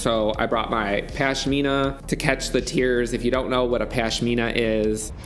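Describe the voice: Music plays in the background as a man talks at a moderate pace. His pitch is medium and his intonation fairly even.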